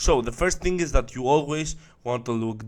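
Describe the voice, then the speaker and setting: In a very clean recording with a silent background, a man with a non-native accent speaks at a moderate pace and a medium pitch. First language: not English. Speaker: online marketing coach. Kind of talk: tutorial.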